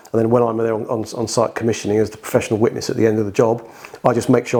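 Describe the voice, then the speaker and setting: A man with a British accent talks at a very fast pace and medium pitch. His intonation is monotone and flat, over noticeable background noise. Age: 50s. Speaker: heating design engineer. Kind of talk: podcast interview. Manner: halting, many repeated words.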